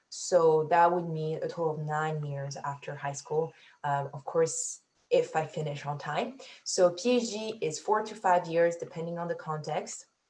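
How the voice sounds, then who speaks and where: A woman talks at a fairly low pitch. Her voice is somewhat breathy and her pace moderate. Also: ordinary pitch variation. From Africa. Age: 20s. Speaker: PhD student, scientist. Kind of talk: Q&A panel answers.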